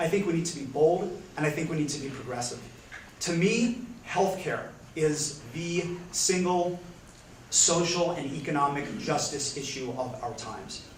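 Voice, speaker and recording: Over noticeable background noise and audible room echo, a man with an American accent talks at a moderate pace and a fairly high pitch with ordinary pitch variation. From US, Pennsylvania. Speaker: congressional candidate. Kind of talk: candidate forum answer. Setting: public library forum with audience.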